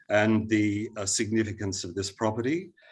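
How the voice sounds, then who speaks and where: This is a man speaking with an Australian accent. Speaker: heritage consultant. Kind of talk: planning panel submission. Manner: hesitant, many fillers.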